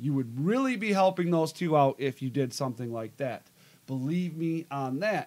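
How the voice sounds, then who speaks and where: At a moderate pace, a man speaks in an unremarkable speaking voice. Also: fairly high pitch for a man, lively intonation. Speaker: wrestling podcast host. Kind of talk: casual live show talk.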